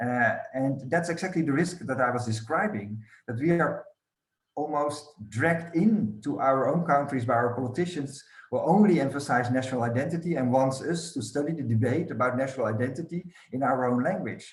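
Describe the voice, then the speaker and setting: A man with a non-native accent talks at a fairly quick pace with ordinary pitch variation. His pitch is fairly high and his voice somewhat breathy. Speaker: scholar of European studies. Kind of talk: academic roundtable discussion.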